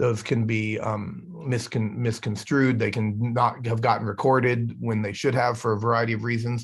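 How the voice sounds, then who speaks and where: Over a quiet background, a man talks at a medium pitch in a monotone, flat intonation. His voice is somewhat breathy. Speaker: educational technology trainer. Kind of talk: online workshop presentation. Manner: fast; halting with repeated words. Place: office. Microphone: webcam.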